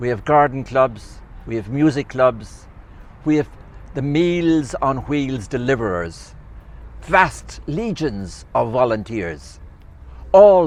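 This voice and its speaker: A man with an Irish accent, medium in pitch, at a very slow pace with lively intonation. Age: 80s+. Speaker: retired community advocate. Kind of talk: public talk.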